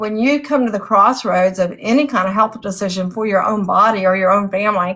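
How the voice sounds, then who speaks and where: Using a normal speaking voice, a woman talks at a fairly quick pace in a medium pitch with ordinary pitch variation. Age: 60s. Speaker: author and interviewer. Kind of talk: casual chat.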